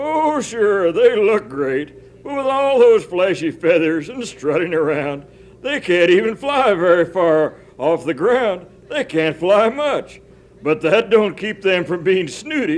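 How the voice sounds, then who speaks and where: Using a put-on character voice, a man talks in a high pitch. His pace is fairly slow. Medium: audio drama. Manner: folksy, drawling.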